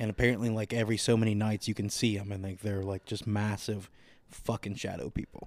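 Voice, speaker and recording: Very fast and monotone, a man's fairly low voice comes through a very clean recording with a silent background. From Southern Ohio, US Midwest. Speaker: podcast co-host and amateur comedian. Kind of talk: casual chat. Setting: studio. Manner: profane.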